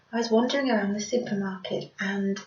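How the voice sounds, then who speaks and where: A woman's medium-pitched voice keeps fairly even intonation as noticeable background noise continues. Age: 40s. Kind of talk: casual talk to camera. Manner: hesitant.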